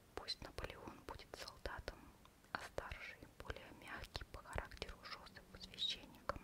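Soft-spoken whispering. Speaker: reader. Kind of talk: reading aloud from a book. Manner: close soft ASMR whisper reading.

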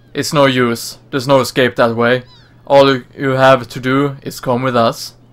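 Delivered in a natural reading voice, the words follow a fairly even intonation.

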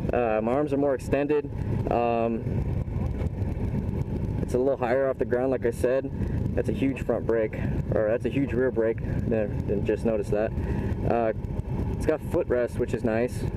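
Loud background noise runs under speech at a moderate pace broken by long, frequent pauses. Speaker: motorcycle vlogger. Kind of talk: casual vlog chat. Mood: excited, upbeat. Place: street. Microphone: phone near.

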